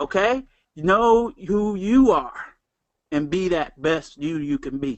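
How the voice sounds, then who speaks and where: Speaking in a Southern US accent, a man uses a high pitch with very wide pitch swings. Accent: Southern twang. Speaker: network marketing trainer. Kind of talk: motivational talk.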